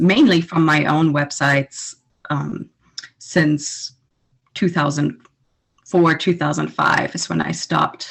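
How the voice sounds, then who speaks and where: A woman with a very deep, low pitch and vocal fry speaks at a very slow pace with fairly even intonation and long, frequent pauses. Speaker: romance author and blogger. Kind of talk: interview answer.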